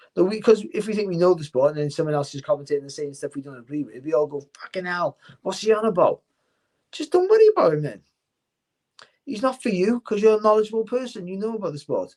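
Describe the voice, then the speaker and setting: A man with a Cardiff accent, at a very fast pace. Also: big swings in loudness. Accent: Welsh (Cardiff). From Wales, Cardiff. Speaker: boxing commentator and former world champion boxer. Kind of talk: casual interview chat.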